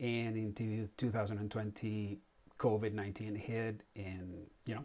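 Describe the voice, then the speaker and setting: A man with a Spanish accent, fairly low pitch, fairly even intonation and moderate pace. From Spain. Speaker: comic artist. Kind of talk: live stream monologue. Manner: halting, many fillers.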